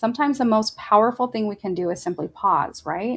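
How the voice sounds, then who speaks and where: A woman's normal speaking voice, medium in pitch, with lively intonation and a fairly quick pace. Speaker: podcast host and coach. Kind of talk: casual podcast talk to camera. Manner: warm, conversational.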